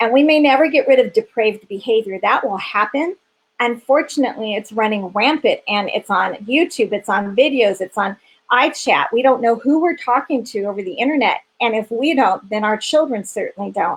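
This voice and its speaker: A woman speaks in an ordinary speaking voice at a fairly high pitch. Her intonation is lively. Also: fairly quick pace. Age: 50s. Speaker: founder of a refuge for sex trafficking victims. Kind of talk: interview on a live stream. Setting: live stream interview.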